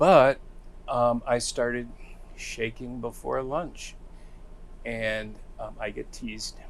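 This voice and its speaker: A man talks in a US Midwestern accent at a fairly slow pace. He leaves long, frequent pauses. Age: 60s. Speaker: recovering alcoholic, former behavioral health worker. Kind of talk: interview testimony. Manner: hesitant, many fillers.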